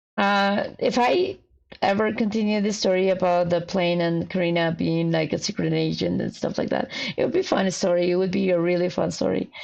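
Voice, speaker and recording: This woman speaks with a Spanish accent. Her loudness stays very even throughout. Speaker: fanfiction writer streamer. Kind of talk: casual livestream chat. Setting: livestream. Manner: halting.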